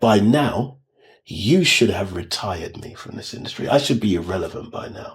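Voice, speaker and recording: A man speaks in a normal speaking voice at medium pitch and a moderate pace. His intonation is lively, and his loudness swings widely. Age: 60s. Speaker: music manager and vocal coach. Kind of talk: casual interview chat.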